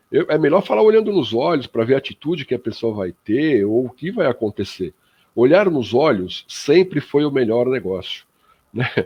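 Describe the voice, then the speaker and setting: A man at a fairly high pitch with very wide pitch swings, vocal fry and a moderate pace. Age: 60s. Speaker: spiritist radio panelist. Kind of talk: radio panel discussion. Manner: hesitant, many fillers.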